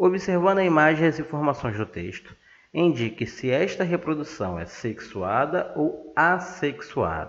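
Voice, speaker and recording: In a Brazilian accent, a man speaks at a fairly slow pace with a fairly high pitch, lively intonation and vocal fry. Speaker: science teacher. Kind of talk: lecture.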